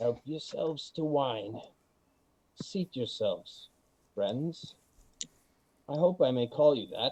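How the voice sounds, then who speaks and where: A man's raspy, put-on character voice, fairly high in pitch, at a fairly slow pace with long, frequent pauses. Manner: mysterious, hospitable.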